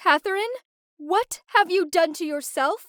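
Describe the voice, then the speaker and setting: A woman uses a put-on character voice at an extremely high pitch and moderate pace. The sound is dry and close, with no echo. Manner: horrified, appalled.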